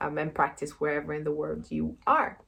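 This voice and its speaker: A woman with a Brazilian accent talks at a moderate pace on a very clean recording with a silent background. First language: Brazilian Portuguese. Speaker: yoga teacher and PhD student. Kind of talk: casual introduction and tutorial. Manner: hesitant, many fillers.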